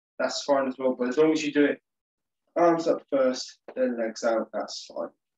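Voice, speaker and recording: A man talks with ordinary pitch variation in a quiet background, with audible room echo. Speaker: exercise instructor. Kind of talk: tutorial. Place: home room. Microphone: webcam.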